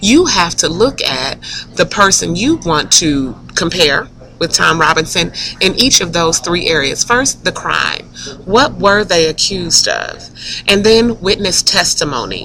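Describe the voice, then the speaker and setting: A woman's fairly low voice with lively intonation at a fairly slow pace, over noticeable background noise. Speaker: teacher. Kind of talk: recorded classroom instruction screencast. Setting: classroom screencast recording.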